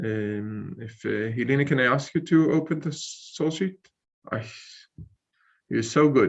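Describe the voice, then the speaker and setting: Here a man speaks at a fairly slow pace with long, frequent pauses. His pitch is fairly high, with ordinary pitch variation. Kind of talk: online lecture. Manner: halting, many fillers.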